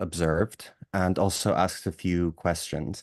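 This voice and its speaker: Dry and close with no echo, a man's voice sounds very deep and low. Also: quiet background. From Cyprus and England. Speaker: activist. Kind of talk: audience question at workshop. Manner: halting.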